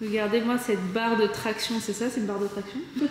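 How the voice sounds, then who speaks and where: A woman's speech with ordinary pitch variation, noticeable background noise and audible room echo. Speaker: travel vlogger. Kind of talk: casual vlog. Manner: animated.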